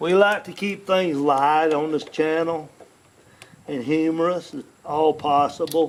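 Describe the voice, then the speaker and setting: Speaking in a Southern US accent, a man talks fairly slowly at a fairly high pitch, his intonation fairly even but his loudness swinging widely. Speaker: YouTuber doing home repairs. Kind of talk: tutorial with casual chat. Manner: halting, with restarts.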